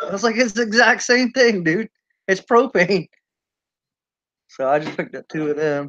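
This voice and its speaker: A man with a Southern US accent talks at a moderate pace in a high, bright, sharp voice with lively intonation and long, frequent pauses. The sound is dry and close, with no echo. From US South, Charleston, South Carolina. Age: 40s. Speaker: prepper channel host. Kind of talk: casual chat.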